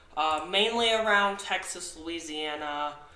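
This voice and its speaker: Noticeable background noise and audible room echo surround this recording. A man with a fairly high pitch speaks at a fairly slow pace. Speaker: amateur weather forecaster. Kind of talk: weather forecast video. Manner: halting, many fillers.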